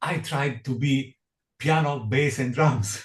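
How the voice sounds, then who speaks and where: At a very slow pace and with ordinary pitch variation, a man talks in a somewhat breathy voice. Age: 60s. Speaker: jazz pianist. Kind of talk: interview. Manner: halting, many repetitions and fillers.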